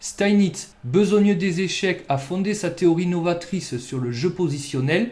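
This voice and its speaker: This man has a high voice and a southern French accent. He talks at a fairly slow pace with lively intonation. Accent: southern French accent (sunny). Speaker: chess youtuber. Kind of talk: scripted narration. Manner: playful.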